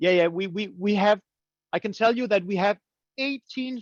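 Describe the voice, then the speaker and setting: A man with a Danish accent, dry sound with no echo, quiet background. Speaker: coffee roasting teacher; presenter. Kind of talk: webinar presentation. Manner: halting, many fillers and repeats. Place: home room. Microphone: webcam.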